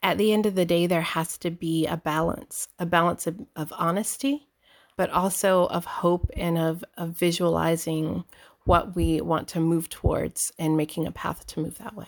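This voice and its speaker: On a very clean recording with a silent background, a woman with an American accent and a fairly low voice speaks at a moderate pace in a normal speaking voice. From US South, Georgia, military upbringing. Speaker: visual artist. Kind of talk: interview conversation.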